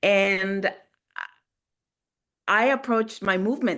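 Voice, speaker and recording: A woman at a medium pitch against a quiet background. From Guatemala, Montreal and Los Angeles. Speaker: theater maker. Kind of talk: panel discussion. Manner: halting.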